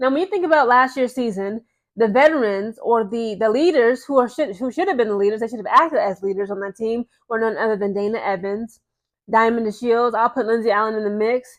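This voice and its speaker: Speaking at a fairly quick pace, a woman uses a fairly high pitch. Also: ordinary pitch variation. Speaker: sports commentary youtuber. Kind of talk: casual commentary. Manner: fast.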